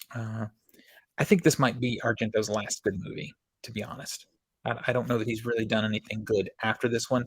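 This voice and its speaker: A somewhat breathy man speaks at a fairly quick pace and medium pitch. His intonation stays fairly even while his loudness swings widely. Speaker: movie collector YouTuber. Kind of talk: casual product review. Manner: monotone.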